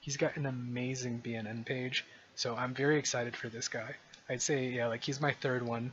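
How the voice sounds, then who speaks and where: A medium-pitched male voice with monotone, flat intonation. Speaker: gaming video creator. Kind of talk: gameplay commentary. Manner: fast; casual.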